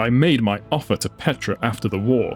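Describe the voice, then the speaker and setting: Gruff, put-on character voice from a man at medium pitch and a fairly quick pace, with clear music in the background. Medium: read story. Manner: curt, commanding.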